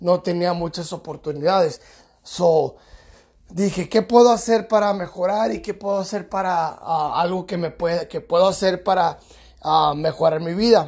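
A man with high pitch and fairly even intonation at a fairly slow pace, on a very clean recording with a silent background. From California, US. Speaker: podcast host, personal development speaker. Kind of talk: motivational monologue. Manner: halting, many fillers.

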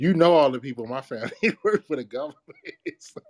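A man talks with very wide pitch swings. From Washington DC area (Capitol Heights). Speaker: podcaster. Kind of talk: casual chat. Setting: video call.

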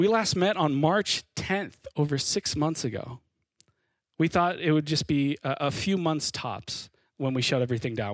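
A man with a fairly high pitch speaks in an unremarkable speaking voice at a moderate pace, his intonation lively, the sound dry and close with no echo and the recording very clean over a silent background. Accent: American. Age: 30s. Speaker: pastor. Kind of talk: sermon.

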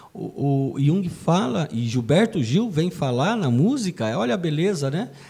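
Over noticeable background noise, a man with a fairly high voice talks at a fairly slow pace, his pitch swinging very widely. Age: 50s. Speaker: podcast co-host, union director. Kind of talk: casual music discussion.

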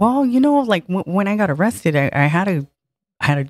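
A woman speaks at a moderate pace in a Southern California accent. The recording is very clean, with a silent background and a dry, close sound with no echo. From Harbor City, Los Angeles. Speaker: former inmate of women's prison, activist. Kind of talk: casual interview chat.

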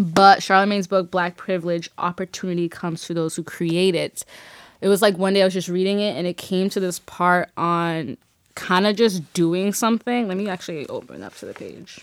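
A woman with a normal speaking voice talks fairly quickly at medium pitch, her intonation fairly even but her loudness swinging widely. The recording is very clean, dry and close, with a silent background and no echo. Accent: American. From Boston, Massachusetts (Dorchester/Mattapan). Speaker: podcast co-host. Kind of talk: casual chat.

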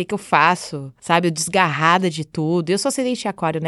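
A woman with an unremarkable speaking voice talks at a moderate pace and a fairly low pitch. The background is quiet and the sound is dry and close, with no echo. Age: 30s. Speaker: astrologer. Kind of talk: casual chat.

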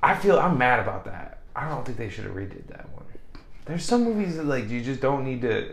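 A fairly high-pitched man speaks at a fairly quick pace, with very wide pitch swings, big swings in loudness and audible room echo. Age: 20s. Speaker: podcast co-host. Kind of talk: casual chat. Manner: animated.

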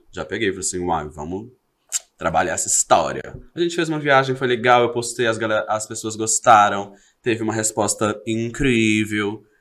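Pitch varies in an ordinary way as a man speaks at a moderate pace. He has an ordinary speaking voice. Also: medium pitch for a man. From Brazil, Belo Horizonte (Minas Gerais). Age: 30s. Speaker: social media content creator. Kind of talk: casual chat interview.

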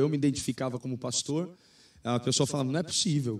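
This man talks at a very fast pace with a fairly high pitch and fairly even intonation. The recording is very clean, with a silent background. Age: 30s. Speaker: pastor. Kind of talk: live-stream interview.

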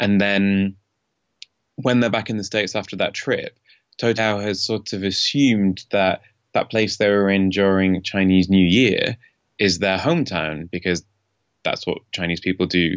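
With a Yorkshire accent, a man talks at a moderate pace in a fairly low pitch with fairly even intonation. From northern England, Leeds. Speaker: tech journalist. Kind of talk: interview. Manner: hesitant, many ums.

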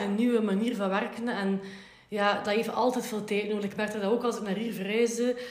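A woman with a Flemish accent talks at a fairly quick pace in a fairly high pitch with monotone, flat intonation. There is noticeable background noise and audible room echo. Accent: Flemish Dutch. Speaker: podcast host. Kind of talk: interview.

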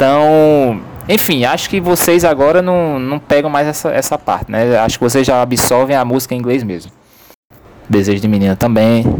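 Here is a man with an ordinary speaking voice, medium in pitch. He moves at a moderate pace with lively intonation. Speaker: business professor. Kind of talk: casual chat.

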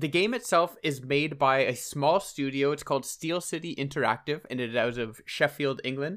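A man speaks at a moderate pace with hardly any pauses, his pitch fairly high. His pitch variation is ordinary, and the recording is very clean with a silent background. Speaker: gaming podcast host. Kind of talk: casual chat.

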